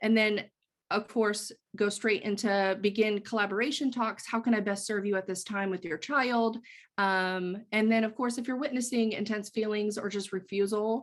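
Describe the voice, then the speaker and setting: A woman with a plain, everyday voice speaks at a moderate pace and a fairly high pitch. Her intonation is fairly even, and the background is quiet. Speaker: early childhood mental health consultant. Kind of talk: conference presentation.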